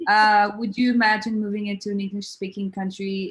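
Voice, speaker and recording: Speaking with a French accent, a woman keeps a medium pitch. Her pace is moderate. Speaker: advertising creative, panel co-host. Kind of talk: panel discussion.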